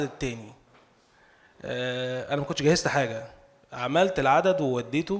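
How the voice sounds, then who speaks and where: A man speaks with an Egyptian accent. His pace is moderate. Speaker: novelist. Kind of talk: speech at cultural salon. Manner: halting.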